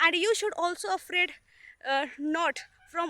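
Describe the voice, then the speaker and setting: Raising and projecting her voice, a woman with an Indian accent speaks at a fairly slow pace with an extremely high pitch and very wide pitch swings. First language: not English. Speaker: student. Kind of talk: casual vlog talk to camera. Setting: outdoors. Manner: hesitant, many filler sounds.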